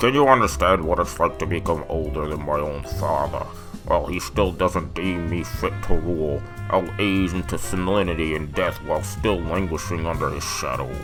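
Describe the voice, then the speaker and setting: Loud music sits behind a man doing a put-on character voice, pitched very deep and low. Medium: fan dub.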